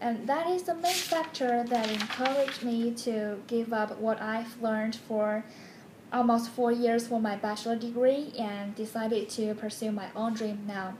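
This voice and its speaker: A woman speaks with a Chinese accent at a moderate pace and with ordinary pitch variation. There is audible room echo and light background noise. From China, Beijing. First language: Mandarin Chinese. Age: 20s. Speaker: graduate program applicant. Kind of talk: application video monologue. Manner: formal. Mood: warm, nostalgic, smiling. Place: home room. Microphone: phone near.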